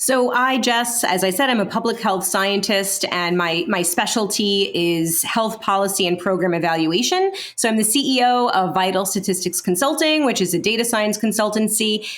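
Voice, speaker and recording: Against noticeable background noise, a woman with an American accent speaks at medium pitch and a moderate pace, with hardly any pauses, very even loudness and ordinary pitch variation. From New York City (Brooklyn). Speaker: podcast host, public health scientist. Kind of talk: casual podcast introductions.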